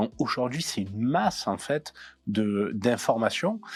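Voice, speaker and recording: On a very clean recording with a silent background, a man speaks with a southern French accent at a medium pitch and ordinary pitch variation. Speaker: cybersecurity expert. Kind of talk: interview. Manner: hesitant, many fillers.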